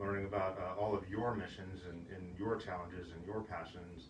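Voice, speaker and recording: A man with an American accent, very deep and low in pitch, with monotone, flat intonation at a fairly quick pace, amid noticeable background noise and audible room echo. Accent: Massachusetts accent, somewhat flattened. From Massachusetts, US. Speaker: military command chief. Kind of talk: casual interview. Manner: hesitant with many filler words.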